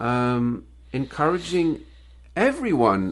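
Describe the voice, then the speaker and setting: A man at medium pitch. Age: 60s. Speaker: business owner and author. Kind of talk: interview. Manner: halting, many repeated words.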